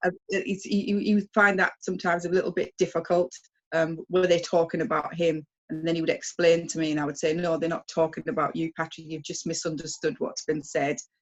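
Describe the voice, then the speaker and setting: At a fairly quick pace, a woman with a British accent speaks at a fairly low pitch with fairly even intonation. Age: 60s. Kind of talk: interview. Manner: hesitant, many fillers.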